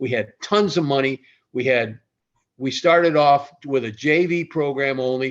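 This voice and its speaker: With an American accent, a man speaks in a plain, everyday voice, fairly high-pitched with ordinary pitch variation. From Ohio. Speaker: retired athletic director. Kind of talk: interview storytelling.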